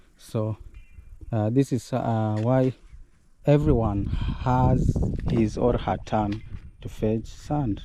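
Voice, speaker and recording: With a Kenyan accent, the speaker talks at a very slow pace with long, frequent pauses, ordinary pitch variation and a dark, mellow tone. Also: man. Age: 20s. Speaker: vlogger. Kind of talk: casual vlog narration.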